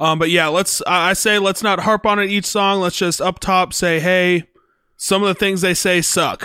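A man speaks in a raised, projected voice at a high pitch, with a bright, sharp tone, monotone, flat intonation, very even loudness and a moderate pace. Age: 20s. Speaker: podcast co-host and musician. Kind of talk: casual chat.

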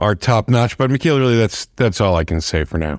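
This man's voice sits at a medium pitch yet moves through very wide pitch swings. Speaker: podcast co-host. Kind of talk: podcast interview. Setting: remote recording.

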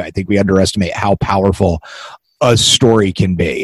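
A man with a very deep, low pitch, somewhat breathy and fairly even in intonation, in a dry, close sound with no echo. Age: 40s. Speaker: podcast host and writer. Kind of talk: casual interview; scripted intro.

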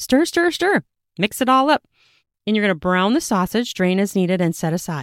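On a very clean, dry, close recording with a silent background and no echo, a woman with a medium-pitched voice speaks in a plain, everyday voice with an American accent, lively intonation and a fairly quick pace. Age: 40s. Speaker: podcast host, home cook. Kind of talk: casual cooking podcast monologue and recipe instructions. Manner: chatty, laughs often.

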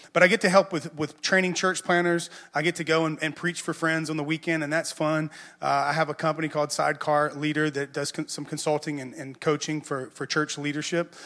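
A man's bright, sharp voice with a Southern US accent, monotone and flat, at a fairly quick pace, in a very clean recording with a silent background. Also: fairly high pitch for a man. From US South. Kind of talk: sermon. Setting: church.

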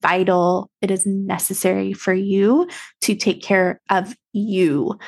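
The speaker is a woman. Her pitch is medium. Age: 30s. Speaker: podcast host and aesthetician mentor. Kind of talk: solo podcast monologue. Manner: casual, conversational with fillers.

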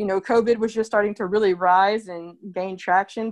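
In a plain, unremarkable speaking voice, a woman talks at a moderate pace with an American accent, medium pitch, and ordinary pitch variation against a quiet background. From Oklahoma, Tulsa. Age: 30s. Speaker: artist. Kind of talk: interview.

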